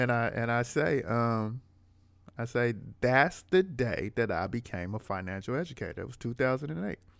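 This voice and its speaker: Over a very clean recording with a silent background, a man talks in a plain, everyday voice at medium pitch. His pace is moderate and his intonation lively. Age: 40s. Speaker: rapper and financial educator. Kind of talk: casual interview conversation.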